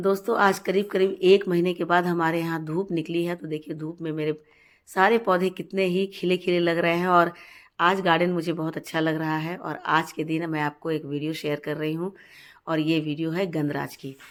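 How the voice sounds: A woman's fairly low voice with little pitch movement at a moderate pace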